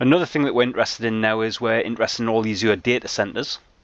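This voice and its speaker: With a British accent, a man talks at a very fast pace. His pitch is medium. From UK. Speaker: IT trainer. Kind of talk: tutorial.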